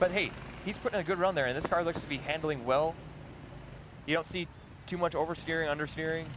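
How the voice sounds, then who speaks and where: A man with an American accent talks very fast at a fairly high pitch, with fairly even intonation. He leaves long, frequent pauses. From Minnesota, US Midwest. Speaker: live event commentator. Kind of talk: live commentary.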